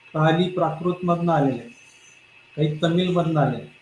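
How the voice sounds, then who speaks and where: A man's high-pitched, monotone voice at a very slow pace, with noticeable background noise and audible room echo. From Maharashtra, India. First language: Marathi. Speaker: professor. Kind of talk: lecture.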